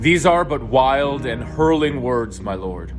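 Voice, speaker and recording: A man's put-on character voice at a medium pitch and a fairly slow pace, over loud music in the background. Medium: stage play.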